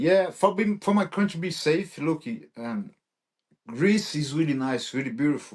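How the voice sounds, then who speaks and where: The speaker talks at a moderate pace with a Brazilian Portuguese accent. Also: man, high pitch for a man. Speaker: MMA fighter. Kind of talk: interview. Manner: halting.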